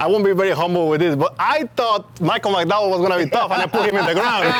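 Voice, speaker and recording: A man with a Mexican accent at a very fast pace and high pitch, ordinary pitch variation, very even loudness, and noticeable background noise. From Mexico. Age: young. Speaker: racing driver. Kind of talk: casual chat. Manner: halting, repeats words.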